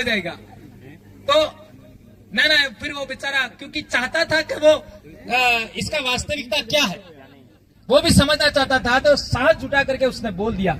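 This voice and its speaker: In a western Indian accent, a man uses a raised, projected voice at extremely high pitch. There is noticeable background noise. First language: Bhili (speaking Hindi). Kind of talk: public speech. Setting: stage with large audience.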